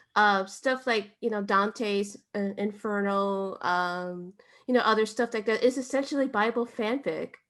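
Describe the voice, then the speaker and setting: Set against a quiet background, a woman with a fairly high pitch speaks at a fairly slow pace with ordinary pitch variation. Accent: Spanish. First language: Spanish. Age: young. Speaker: writer and content creator. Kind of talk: interview. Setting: podcast.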